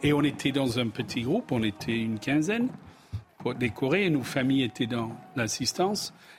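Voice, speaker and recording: A man with an English accent speaks at a moderate pace. His pitch sits at a medium level. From England. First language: English (speaking French). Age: 60s. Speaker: business executive. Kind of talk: TV panel discussion.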